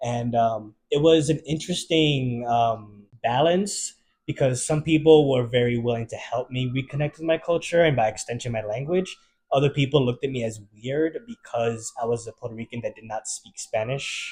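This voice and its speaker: This man has a slight New York accent. His voice is somewhat breathy. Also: medium pitch for a man, ordinary pitch variation, moderate pace. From Maryland, US. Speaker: bartender and server. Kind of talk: interview.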